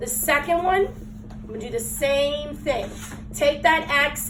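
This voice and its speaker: A woman with a high pitch and ordinary pitch variation speaks at a fairly slow pace, with audible room echo and noticeable background noise. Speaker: math teacher. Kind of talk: classroom lesson.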